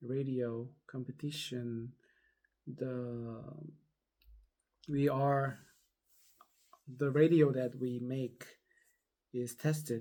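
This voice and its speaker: A man's medium pitch at a very slow pace, with ordinary pitch variation. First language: not English. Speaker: vlogger. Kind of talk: casual personal storytelling. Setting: at home, just out of bed. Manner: halting, many fillers.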